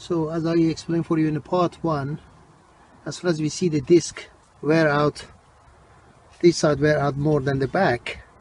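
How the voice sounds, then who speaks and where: At a moderate pace, a man speaks in a dry sound with no echo over light background noise. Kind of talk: tutorial. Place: street. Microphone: phone near.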